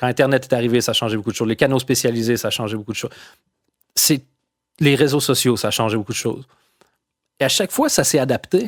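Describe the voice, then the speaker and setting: A man with a Quebec accent talks at a very fast pace with fairly even intonation. The recording is very clean, dry and close, with no echo and a silent background. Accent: Quebec French accent, kept after years abroad. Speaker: comedian. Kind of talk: casual chat. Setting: podcast interview.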